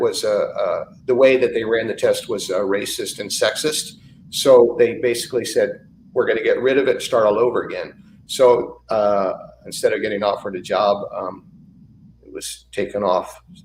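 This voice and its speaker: A man with an American accent at a moderate pace, his loudness swinging widely. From San Francisco, US West Coast. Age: 60s. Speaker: brewery owner. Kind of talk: interview. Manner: halting, many fillers.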